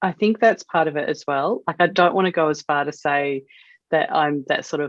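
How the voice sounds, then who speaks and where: The speaker has an Australian accent, a moderate pace and ordinary pitch variation. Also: woman. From Western Australia. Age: 40s. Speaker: wedding photographer. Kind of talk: podcast interview.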